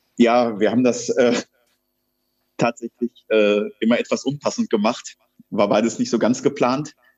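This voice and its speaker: A flat, monotone delivery at a moderate pace, with very even loudness and long, frequent pauses. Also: man, medium pitch for a man. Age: 40s. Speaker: wrestler and firefighter. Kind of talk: interview. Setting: video call.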